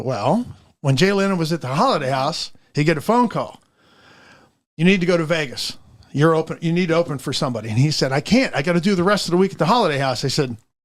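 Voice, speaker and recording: A man talks at a very fast pace with lively intonation and a fairly high pitch. The recording is very clean, with a silent background. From Pittsburgh. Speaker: entertainer and beekeeper. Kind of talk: podcast interview answer.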